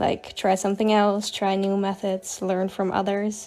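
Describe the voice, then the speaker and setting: Music plays in the background as a woman speaks with a slight Dutch accent. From Netherlands. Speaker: digital artist. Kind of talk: casual chat. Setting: livestream.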